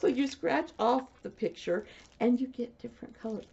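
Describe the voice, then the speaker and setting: A woman talks at a moderate pace with a Midwestern US accent. Her voice carries vocal fry. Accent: US Midwest. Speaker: knitting podcaster. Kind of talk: casual video podcast chat. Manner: soft-spoken.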